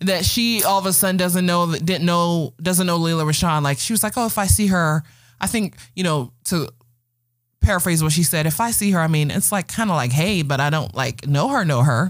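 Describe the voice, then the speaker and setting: Here is a woman with an American accent and a normal speaking voice, pitched fairly low. Her intonation is lively, and the recording is very clean with a silent background. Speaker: podcast host. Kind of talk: casual chat.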